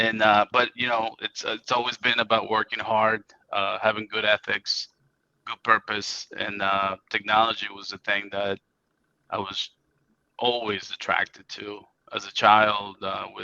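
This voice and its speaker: A man with a Spanish accent, fairly low and bright, sharp in tone, monotone and flat, with a dry, close sound and no echo. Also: fairly slow pace. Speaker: IT company CEO. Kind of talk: interview.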